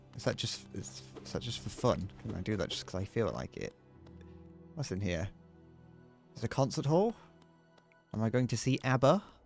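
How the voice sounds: A man talks at a fairly quick pace with very wide pitch swings and long, frequent pauses. Music plays behind him. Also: medium pitch for a man.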